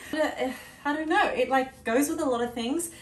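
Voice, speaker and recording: With audible room echo, a woman in an Australian accent speaks at a moderate pace in an upbeat tone with lively intonation. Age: late 20s. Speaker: fitness content creator. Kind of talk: casual talk to camera. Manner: upbeat, chatty. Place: home room. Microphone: camera far.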